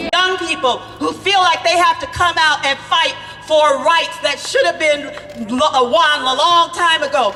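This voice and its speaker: The speech moves at a fairly slow pace with music in the background. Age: old. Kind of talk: protest speech. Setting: outdoor rally with crowd.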